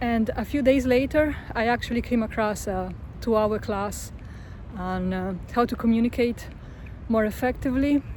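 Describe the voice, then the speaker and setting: At a moderate pace, a woman is speaking. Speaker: vlogger. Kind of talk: casual vlog monologue. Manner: monotone; soft-spoken.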